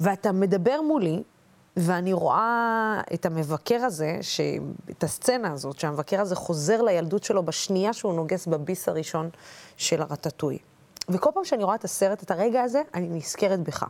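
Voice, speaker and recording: A woman talks at a moderate pace and a medium pitch. Hers is an ordinary speaking voice. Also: lively intonation. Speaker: TV interviewer. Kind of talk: interview.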